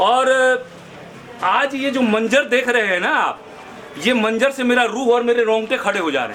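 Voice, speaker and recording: Long, frequent pauses break up the speech, with audible room echo and noticeable background noise. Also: man, extremely high pitch for a man, ordinary pitch variation, moderate pace. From Delhi, India. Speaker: local resident protester. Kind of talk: street interview. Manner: animated.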